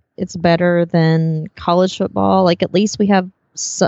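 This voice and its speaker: In an unremarkable speaking voice, a woman talks at a fairly slow pace with a fairly low pitch. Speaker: entrepreneur, former school teacher. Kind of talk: casual interview chat. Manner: laughs often, friendly.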